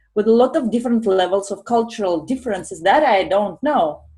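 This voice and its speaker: In a Russian accent, a woman talks at a moderate pace, her fairly high voice somewhat breathy with a dark, mellow tone. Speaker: professional coach. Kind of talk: panel discussion. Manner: carefully articulated.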